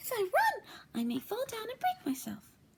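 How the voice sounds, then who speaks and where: A put-on, squeaky, female-sounding character voice at an extremely high pitch, with very wide pitch swings. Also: moderate pace. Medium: read story.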